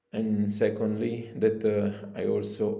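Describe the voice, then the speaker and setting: A man talks at a very slow pace with an Italian accent. There is audible room echo. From Italy. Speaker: spiritual coach and shamanic practitioner. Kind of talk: promotional video appeal. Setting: his holistic studio. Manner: halting, many fillers.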